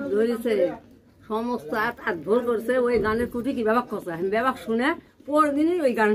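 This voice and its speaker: An extremely high-pitched man's voice amid noticeable background noise. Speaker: jatra folk theatre artist and flute player. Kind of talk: interview answer. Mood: cheerful, animated. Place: home room. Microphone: phone near.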